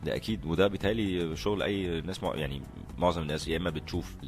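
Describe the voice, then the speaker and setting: With music in the background, a man speaks at a fairly quick pace in a very deep, low pitch with ordinary pitch variation. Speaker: actor. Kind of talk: interview answer. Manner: hesitant, thinking aloud.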